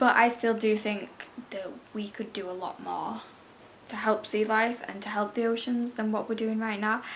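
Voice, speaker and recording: A woman's fairly high, monotone voice with flat intonation at a moderate pace, over noticeable background noise. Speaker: video commentator. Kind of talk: casual talk to camera.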